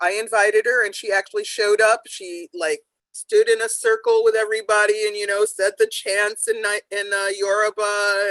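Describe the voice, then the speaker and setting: A woman with a normal speaking voice speaks at medium pitch and a moderate pace, with fairly even intonation, in a dry, close sound with no echo. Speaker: author. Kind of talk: panel discussion remembrance.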